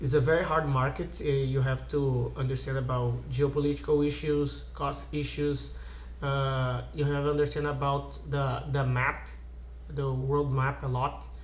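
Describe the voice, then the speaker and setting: A man's fairly slow speech at very even loudness, with audible room echo. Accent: Portuguese. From Brazil. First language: Portuguese. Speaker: investing channel host. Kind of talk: casual tutorial / stock analysis. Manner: halting, many fillers and restarts.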